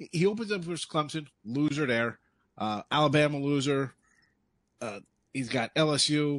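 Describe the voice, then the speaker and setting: Against a quiet background, a man with a fairly high pitch and ordinary pitch variation talks at a moderate pace with long, frequent pauses. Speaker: college football analyst. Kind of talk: casual betting analysis.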